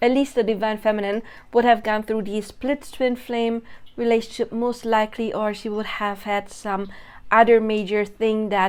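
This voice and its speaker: On a very clean recording with a silent background, a woman with a non-native accent speaks at a moderate pace and a fairly high pitch, her intonation monotone and flat. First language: not English. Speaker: spiritual content creator. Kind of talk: monologue video. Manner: casual, self-correcting.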